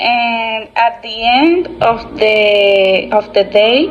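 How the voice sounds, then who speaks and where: Music plays in the background as a woman speaks at a fairly high pitch with ordinary pitch variation. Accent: Dominican. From Dominican Republic, Constanza. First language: Spanish. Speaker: English language student. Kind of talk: class presentation monologue. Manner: halting, with fillers and self-corrections.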